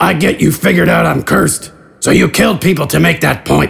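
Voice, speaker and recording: Raspy and fairly quick, a man performs a put-on character voice. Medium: audio drama. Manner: gruff, blunt.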